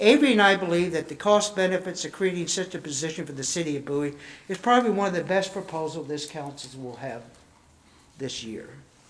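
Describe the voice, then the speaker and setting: Speaking at a very fast pace with lively intonation, a man with a high voice makes big swings in loudness amid audible room echo. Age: 70s. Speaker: citizen speaking at council meeting. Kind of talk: public comment. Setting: council chambers.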